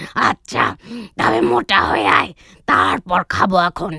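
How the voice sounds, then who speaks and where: The cartoonish character voice sits at a middle pitch and sounds raspy. It moves at a fairly slow pace. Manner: greedy, blunt.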